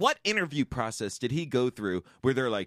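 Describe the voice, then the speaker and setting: A man's medium-pitched voice with an American accent, a normal speaking voice with lively intonation, dry and close with no echo, in a very clean recording over a silent background. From New York. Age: 40s. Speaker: sports podcast host. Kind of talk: casual chat.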